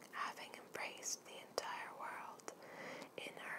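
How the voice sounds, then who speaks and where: Whispering from a woman. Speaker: ASMR creator. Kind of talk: ASMR art card reading with whispers. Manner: whispered, soft.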